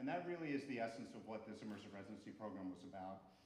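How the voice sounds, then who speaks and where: Talking at a very fast pace with lively intonation, a man with a slight New Jersey accent uses a fairly low pitch, and audible room echo surrounds him. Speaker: music school director, conversation host. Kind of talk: welcome speech to a live audience. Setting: recital hall stage with audience. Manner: casual, hesitant with fillers.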